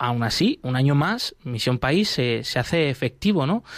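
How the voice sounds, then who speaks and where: Moderate in pace, the speech comes in an ordinary speaking voice. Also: man. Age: 30s. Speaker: radio host. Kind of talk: news reading; radio magazine show.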